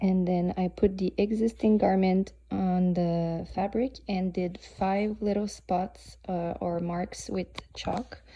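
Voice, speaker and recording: A woman with a Swiss French accent, speaking at a very slow pace. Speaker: sewing hobbyist. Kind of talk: tutorial. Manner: hesitant, many fillers.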